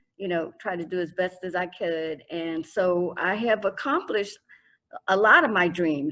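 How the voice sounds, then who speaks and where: In a quiet background, a woman with an American accent uses a normal speaking voice of medium pitch, ordinary pitch variation and a fairly slow pace. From Florida. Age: 60s. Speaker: sickle cell patient advocate. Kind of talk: panel discussion.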